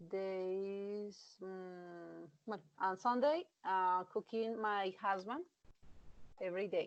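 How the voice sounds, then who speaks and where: A woman with a Colombian accent and a medium pitch talks at a very slow pace with long, frequent pauses and fairly even intonation. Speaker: English student. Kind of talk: speaking exam practice. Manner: halting, many fillers.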